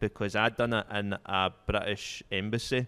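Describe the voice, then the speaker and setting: With a Scottish accent, a man talks at a moderate pace in a monotone, flat intonation. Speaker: stand-up comedian. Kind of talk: casual chat.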